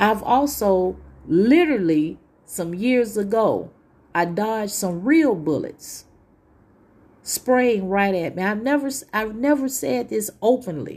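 In a very clean recording with a silent background, a woman with a fairly high voice speaks very slowly with lively intonation. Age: 40s. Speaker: podcast host, tarot reader. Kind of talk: solo podcast monologue. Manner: casual, with frequent fillers.

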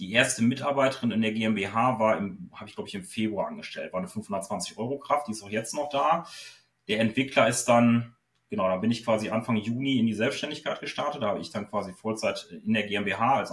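Ordinary pitch variation runs through a man's medium-pitched voice as he talks at a fairly quick pace. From northwestern Germany, Osnabrück. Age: 30s. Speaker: SEO consultant. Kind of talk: interview. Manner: hesitant, many filler sounds.

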